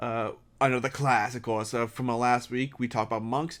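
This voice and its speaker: A quiet man at a moderate pace in a very clean recording with a silent background. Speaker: YouTuber talking about tabletop games. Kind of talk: casual solo talk. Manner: quiet, hushed; halting, many fillers.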